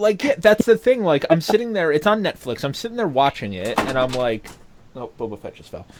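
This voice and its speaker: A man with an American accent speaks at a fairly quick pace in a high pitch, with very wide pitch swings and big swings in loudness. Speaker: podcast co-host. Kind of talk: casual chat. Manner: animated.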